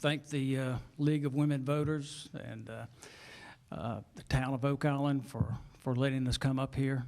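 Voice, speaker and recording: This man has an ordinary speaking voice, with a medium pitch and a moderate pace. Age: 60s. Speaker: political candidate, retired police officer. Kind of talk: candidate opening statement. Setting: town hall chamber with audience.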